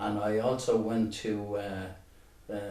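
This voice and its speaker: Monotone, flat male speech with a Dublin accent, audible room echo and noticeable background noise. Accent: Dublin Irish. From Ireland, Dublin (Ballyfermot). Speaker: local resident sharing memories. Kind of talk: interview. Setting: at home. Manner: halting.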